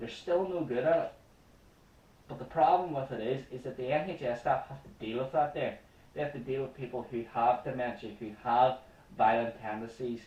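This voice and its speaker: Speaking with a Northern Irish accent, a man at a medium pitch has a dark, mellow, somewhat breathy tone, ordinary pitch variation and a moderate pace. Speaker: comedy news show host. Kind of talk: comedic news commentary rant. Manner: impassioned.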